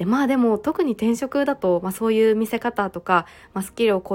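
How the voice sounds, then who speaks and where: In a very clean recording with a silent background, a woman uses a normal speaking voice at a fairly quick pace with ordinary pitch variation. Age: 30s. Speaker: podcaster and working mother. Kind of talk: solo podcast talk. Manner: frequent fillers.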